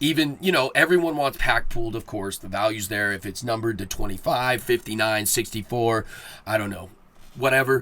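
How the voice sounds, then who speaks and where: Loud and fairly quick, a man speaks at medium pitch with lively intonation and a bright, sharp tone. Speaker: podcast host. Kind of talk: solo podcast monologue. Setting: home studio. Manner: casual, rambling with fillers.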